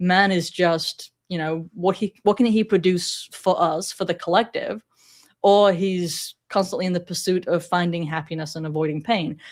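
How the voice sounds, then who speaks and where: Fairly even in intonation and fairly low in pitch, a woman talks at a moderate pace on a very clean recording with a silent background. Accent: American. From England, Sheffield. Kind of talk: podcast interview.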